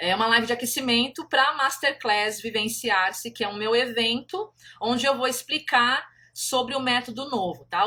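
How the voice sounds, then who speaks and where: A woman speaks at a high pitch with a bright, sharp tone. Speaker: country painting teacher. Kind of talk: live stream talk. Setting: Instagram live.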